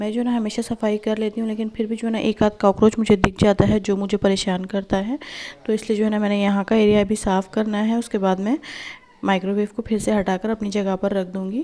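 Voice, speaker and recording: Against noticeable background noise, a woman with a fairly high pitch talks in a monotone, flat intonation. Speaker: home vlogger. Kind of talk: vlog voice-over.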